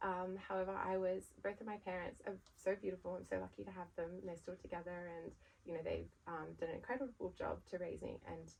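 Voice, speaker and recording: With an Australian accent, a woman is talking. She moves along at a fairly quick pace. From Australia, Sydney. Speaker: brand founder. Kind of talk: podcast interview. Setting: podcast recording.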